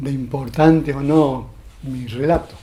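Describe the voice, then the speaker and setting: In a room with audible echo, a man speaks very slowly in a somewhat breathy voice, at a fairly high pitch with ordinary pitch variation. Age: 70s. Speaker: former political prisoner. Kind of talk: testimony. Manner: halting, with frequent fillers.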